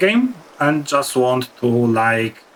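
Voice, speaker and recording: A man with a non-native accent talks at a very slow pace with lively intonation. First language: not English. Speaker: gaming youtuber. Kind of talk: gameplay commentary. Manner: halting.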